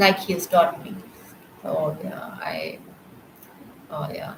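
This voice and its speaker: Noticeable background noise sits behind a woman's fairly low voice. She talks at a fairly slow pace. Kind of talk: testimony. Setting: live stream. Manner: halting.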